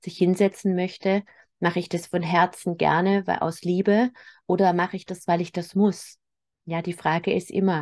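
A woman speaks at a moderate pace in a fairly low pitch, with monotone, flat intonation. The background is quiet. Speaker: spiritual medium and healer. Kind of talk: spiritual weekly message. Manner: spontaneous, unscripted.

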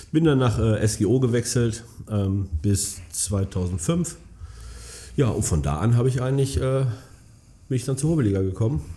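A man with a dark, mellow, somewhat breathy tone speaks fairly slowly with lively intonation. His loudness stays very even, broken by long, frequent pauses. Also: medium pitch for a man. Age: 30s. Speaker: amateur football club chairman. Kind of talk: casual interview.

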